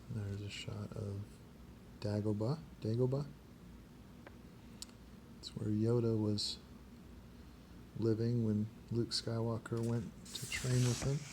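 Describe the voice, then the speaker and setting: A soft-spoken man talks at medium pitch with a dark, mellow, somewhat breathy tone. He goes at a fairly slow pace with long, frequent pauses. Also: fairly even intonation. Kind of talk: ASMR page-turning talk.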